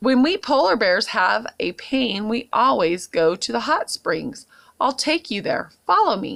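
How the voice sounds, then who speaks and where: On a very clean recording with a silent background, a woman uses a put-on character voice, fairly high in pitch, at a fairly slow pace. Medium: read story.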